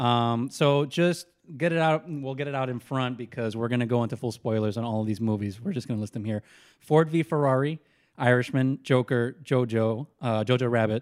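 This man talks at a moderate pace in a normal speaking voice, with medium pitch and ordinary pitch variation. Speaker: podcast host. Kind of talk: casual chat. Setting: studio.

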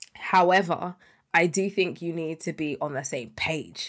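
In a British accent, a woman with a fairly low pitch talks at a fairly slow pace on a very clean recording with a silent background. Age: 30s. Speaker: podcast co-host. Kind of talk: casual chat.

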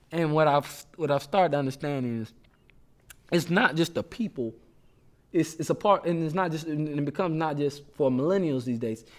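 With music in the background, a man speaks at a moderate pace with an American accent. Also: fairly high pitch for a man, ordinary pitch variation. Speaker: church music minister and student. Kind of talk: casual chat.

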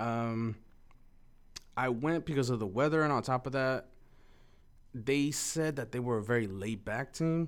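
Recorded very cleanly against a silent background, a man of medium pitch speaks at a moderate pace with ordinary pitch variation and long, frequent pauses. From Mexico, raised in East Los Angeles. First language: Spanish. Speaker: former college speech competitor. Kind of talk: casual interview.

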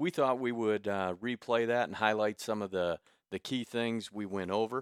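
A man with an American accent talks at a fairly low pitch, in a very clean recording with a silent background and a dry, close sound without echo. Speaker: radio host and gym owner. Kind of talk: casual radio interview. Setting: radio studio.

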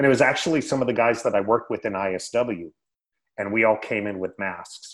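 A man speaks at a moderate pace in an American accent, with medium pitch and ordinary pitch variation. It is a plain, everyday voice. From Northern California, Sacramento area. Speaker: retired wrestler and podcast host. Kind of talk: casual interview.

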